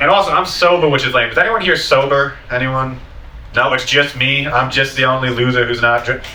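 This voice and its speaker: With an American accent and a medium pitch, a man speaks at a fairly quick pace with ordinary pitch variation, amid audible room echo and noticeable background noise. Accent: sounds Boston-like due to speech impediment. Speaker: stand-up comedian. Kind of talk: stand-up. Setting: stage with audience.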